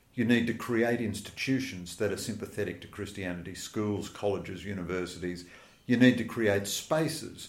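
An Australian accent at a moderate pace, with audible room echo. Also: man. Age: 60s. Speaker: journalist and author. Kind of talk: interview.

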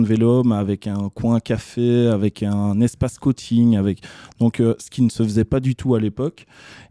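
A man's dark, mellow tone with fairly even intonation, dry and close with no echo, in a very clean recording with a silent background. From Belgium, Charleroi area (Couillet). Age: 20s. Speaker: bike shop owner and entrepreneur. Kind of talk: interview. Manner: hesitant, frequent fillers and repetitions.

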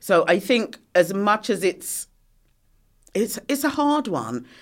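The pitch swings very widely on a very clean recording with a silent background. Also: woman. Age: 50s. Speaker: menopause campaigner. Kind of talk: casual chat.

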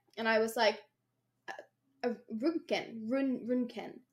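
This voice belongs to a woman. She speaks with a Derry accent. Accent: Northern Irish (Derry). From Northern Ireland, Derry. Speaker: podcast co-host. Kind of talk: casual chat. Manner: animated.

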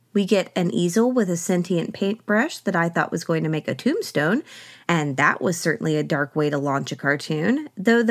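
In a very clean recording with a silent background, a woman with an American accent speaks at a moderate pace in a medium pitch, her voice making very wide pitch swings. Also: hardly any pauses. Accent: slight Southern US, mostly hidden. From US South, Oklahoma. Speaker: podcast host. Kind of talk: scripted-style narration with commentary. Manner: humorous, wry.

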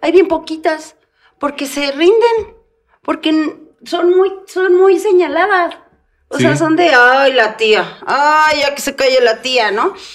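A woman's extremely high-pitched voice at a very slow pace, with lively intonation. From Mexico. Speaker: comedian. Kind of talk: casual chat.

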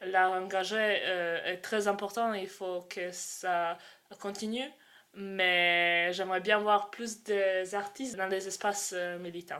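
Very slowly, a woman with a Croatian accent speaks at medium pitch in a bright, sharp tone with monotone, flat intonation. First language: Croatian (speaking French). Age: 20s. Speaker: student and activist. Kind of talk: interview. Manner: halting.

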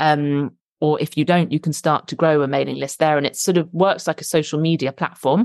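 Against a quiet background, a woman with a southern British accent speaks fairly quickly in a very deep, low pitch with fairly even intonation, the sound dry and close with no echo. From London, England. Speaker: author and ghostwriter. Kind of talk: casual interview chat.

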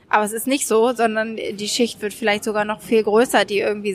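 The woman talks at a fairly quick pace. Her fairly high voice is monotone and flat. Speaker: journalist and correspondent. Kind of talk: interview. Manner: hesitant, many fillers.

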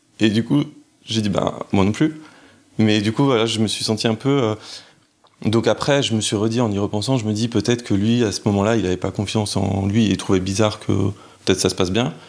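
Long, frequent pauses interrupt fairly quick speech that keeps a fairly even intonation. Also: man, fairly low pitch for a man. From France, Lyon. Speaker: interview guest sharing personal story. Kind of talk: personal testimony. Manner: hesitant, many fillers.

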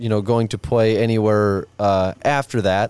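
A man speaks at a moderate pace in a medium pitch with an unremarkable speaking voice. The sound is dry and close, with no echo. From Nebraska, near Omaha. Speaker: rodeo bullfighter. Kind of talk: casual chat. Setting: outdoors.

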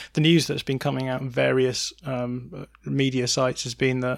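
In an English accent, a man speaks with monotone, flat intonation. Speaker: football podcast host. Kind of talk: casual chat.

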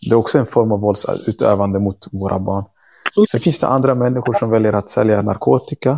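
A man talks at a fairly quick pace in a medium pitch, his tone dark and mellow. His pitch varies in an ordinary way, and the sound is dry and close, with no echo. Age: 30s. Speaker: activist and teacher. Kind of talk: interview conversation. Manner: halting.

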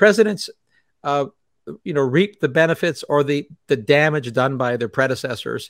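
A man speaks at a fairly high pitch in a plain, everyday voice. The recording is very clean, with a silent background. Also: dry, close sound with no echo. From Canada. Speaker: physicist and energy writer. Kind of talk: interview. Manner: laughs often.

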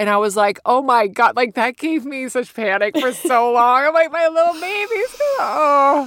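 Hardly pausing, the speaker moves at a moderate pace with lively intonation over noticeable background noise. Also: woman, high pitch for a woman. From US, Virginia. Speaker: stand-up comedian. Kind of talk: casual chat.

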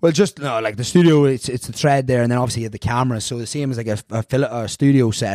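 A man's medium-pitched voice with a dark, mellow tone and a strong Irish accent, very fast in pace, with ordinary pitch variation and a dry, close sound with no echo. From Ireland. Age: 30s. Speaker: fitness instructor. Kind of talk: casual chat. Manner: animated.

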